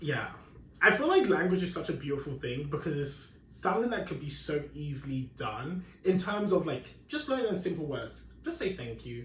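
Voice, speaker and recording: A man with an English accent speaks at a moderate pace in a fairly high voice with lively intonation. Audible room echo surrounds him. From London, England. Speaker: podcast host. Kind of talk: casual chat.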